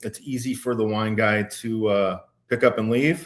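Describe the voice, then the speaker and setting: In a quiet background, a man with a slight Minnesota accent talks at a moderate pace with fairly even intonation. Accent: slight Minnesota accent, shows on some words. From Minnesota, Minneapolis-Saint Paul area. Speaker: wine educator and small business owner. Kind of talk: casual interview. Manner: hesitant, many fillers and restarts.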